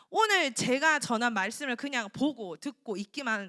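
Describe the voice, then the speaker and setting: Very wide pitch swings in a woman's raised, projected voice, bright and sharp in tone, with a dry, close sound and no echo. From South Korea, Daegu (Gyeongsang). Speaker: preacher. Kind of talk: sermon. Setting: church. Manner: animated.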